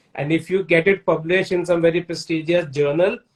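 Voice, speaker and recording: A man speaks in a high-pitched voice. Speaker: book channel host. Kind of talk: interview conversation.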